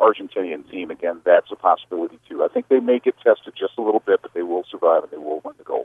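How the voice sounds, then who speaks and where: A man talks at a very fast pace with hardly any pauses and big swings in loudness. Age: 50s. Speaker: TV sports director. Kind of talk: interview.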